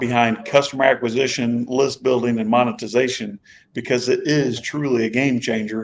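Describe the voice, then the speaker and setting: At a medium pitch, a man talks with an American accent. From US Midwest, Indiana. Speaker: entrepreneur, marketing expert. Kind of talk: podcast interview chat.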